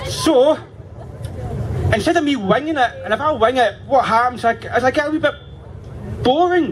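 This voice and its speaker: Speaking at a fairly quick pace with a Scottish accent, a man uses an extremely high pitch and ordinary pitch variation over noticeable background noise. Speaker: campaigner speaking at a rally. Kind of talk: political rally speech. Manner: loud, rousing.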